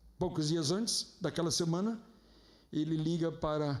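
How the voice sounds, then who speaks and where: Room echo can be heard. A man's speech moves at a moderate speed, its pitch varying in an ordinary way. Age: 60s. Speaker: pastor. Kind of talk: sermon. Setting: church.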